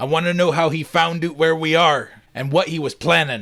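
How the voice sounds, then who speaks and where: A man puts on a character voice at a fairly high pitch, speaking at a fairly quick pace. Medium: read story. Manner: blunt, commanding.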